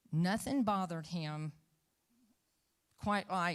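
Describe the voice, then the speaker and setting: Her pitch is fairly low for a woman. She speaks with ordinary pitch variation. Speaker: political candidate. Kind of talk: debate answer.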